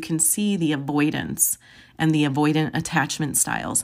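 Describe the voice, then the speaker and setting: The speaker has an American accent and a voice with vocal fry. The recording is very clean, with a silent background. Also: woman. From US Midwest, Joliet, Illinois. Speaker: counselor and podcast host. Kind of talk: monologue podcast, personal introduction; guided breathing exercise.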